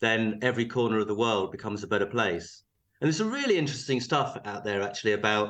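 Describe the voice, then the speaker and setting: Very fast and at medium pitch, a man with a southern English accent speaks with ordinary pitch variation against a quiet background. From southern England, Surrey near London. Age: 50s. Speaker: business founder. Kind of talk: casual chat. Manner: halting.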